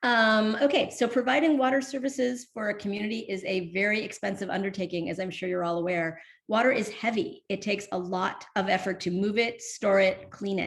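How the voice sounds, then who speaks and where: This woman talks at a fairly quick pace with hardly any pauses, her medium pitch showing ordinary variation. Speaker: workshop presenter on water utility finance. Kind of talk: virtual workshop presentation. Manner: halting, many fillers.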